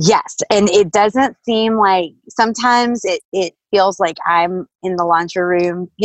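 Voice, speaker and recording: A woman with an American accent speaks at a very slow pace with hardly any pauses. Her pitch is medium, with ordinary pitch variation. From North Carolina, Durham. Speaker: stationery business owner, mother. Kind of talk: casual interview chat. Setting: video call.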